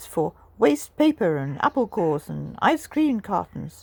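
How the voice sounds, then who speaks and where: A woman's put-on character voice at a medium pitch, with very wide pitch swings and a moderate pace. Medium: read story. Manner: bouncy, blunt.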